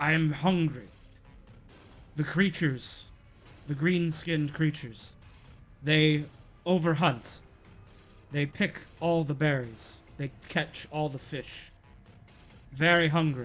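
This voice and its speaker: A growling, put-on character voice moves at a fairly slow pace with long, frequent pauses. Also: man, fairly high pitch for a man. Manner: hungry, explaining.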